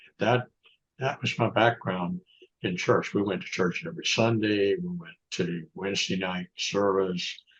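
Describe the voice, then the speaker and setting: A fairly low-pitched man with a Southern US accent, lively intonation and a fairly slow pace. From US South, North Florida. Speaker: author and lawyer. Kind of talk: interview conversation. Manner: halting.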